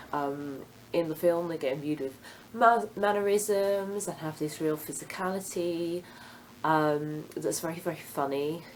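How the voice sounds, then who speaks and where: A woman talks fairly slowly, her fairly low pitch showing ordinary variation. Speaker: book vlogger. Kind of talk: casual monologue to camera. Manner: hesitant with frequent ums.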